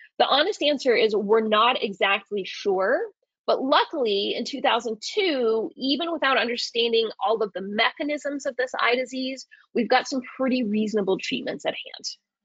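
A woman speaks at a moderate pace with a high pitch, lively intonation and an animated tone. The sound is dry with no echo, and the background is quiet. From Arizona, US Southwest. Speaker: veterinary ophthalmologist; presenter. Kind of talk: lecture. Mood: warm, enthusiastic, humorous. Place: home room. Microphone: webcam.

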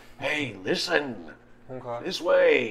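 A man at a medium pitch talks in a put-on character voice. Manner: cranky.

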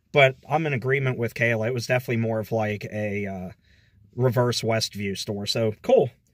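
On a very clean recording, silent background, a man with an American accent and an ordinary speaking voice talks at a moderate pace with fairly even intonation. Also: medium pitch for a man. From Texas. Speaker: retail store vlogger. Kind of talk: casual walkthrough vlog narration. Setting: outdoors and inside a closing store.

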